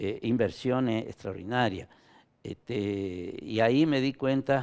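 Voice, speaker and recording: Speaking at a very slow pace, a man holds a medium pitch. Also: ordinary pitch variation. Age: 70s. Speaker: former government minister. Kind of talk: interview. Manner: halting.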